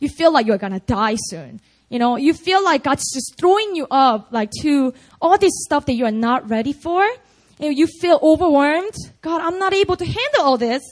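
A woman speaks at a moderate pace with very wide pitch swings. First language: Korean. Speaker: pastor. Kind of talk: sermon. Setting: church. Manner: animated.

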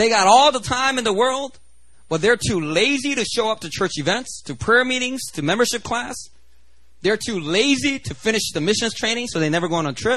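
An animated, high male voice with a bright, sharp tone and lively intonation at a fairly quick pace over a quiet background. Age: 30s. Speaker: pastor. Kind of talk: sermon. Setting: church.

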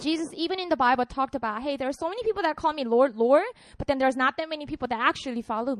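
Animated and very fast, the speaker talks with a Korean accent in a dry, close sound with no echo. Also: woman, high pitch for a woman, lively intonation. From South Korea, Busan. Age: 30s. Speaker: pastor. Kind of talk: sermon. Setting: stage with audience.

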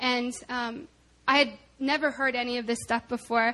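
A woman with an American accent projects her voice in a bright, sharp tone. Her pitch is high and her intonation fairly even. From US South, Arkansas. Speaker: church member giving testimony. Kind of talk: testimony. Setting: church.

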